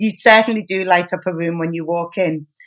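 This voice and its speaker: Speaking at a moderate pace, a woman uses a plain, everyday voice. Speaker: podcast host. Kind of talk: casual interview chat.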